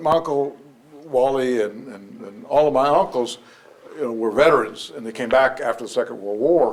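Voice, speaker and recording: Speaking with an American accent, a man uses a medium pitch with ordinary pitch variation, a moderate pace and big swings in loudness. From Texas, San Antonio. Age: 60s. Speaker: community organizer. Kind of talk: interview. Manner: halting, many fillers.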